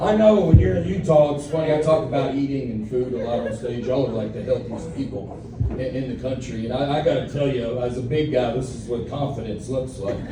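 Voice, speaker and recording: Over noticeable background noise and audible room echo, a man with a Southern US accent talks fairly quickly at medium pitch, with ordinary pitch variation and hardly any pauses. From Alabama. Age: 40s. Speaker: comedian. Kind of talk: stand-up. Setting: stage with audience. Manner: animated.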